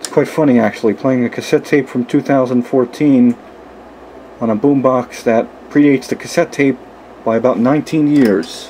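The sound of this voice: With faint background noise, a man speaks at a moderate pace and medium pitch, his dark, mellow tone showing ordinary pitch variation.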